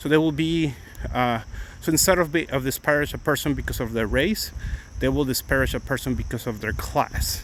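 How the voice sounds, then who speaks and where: Here a man talks with a Mexican accent and vocal fry. His pace is moderate. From Mexico City, Mexico. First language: Spanish. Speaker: attorney and livestreamer. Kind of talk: casual live-stream chat. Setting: outdoors walking. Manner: halting.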